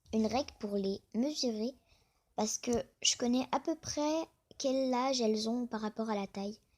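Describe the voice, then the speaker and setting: A woman speaks fairly slowly, her fairly high voice dark and mellow with ordinary pitch variation. The recording is very clean, with a silent background. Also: long, frequent pauses. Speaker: youtuber talking about crayfish hobby. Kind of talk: casual vlog monologue.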